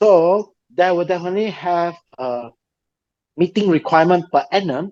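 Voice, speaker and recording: With a non-native accent, a man talks at a high pitch against a quiet background. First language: not English. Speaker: property developer representative. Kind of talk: webinar Q&A answer. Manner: halting.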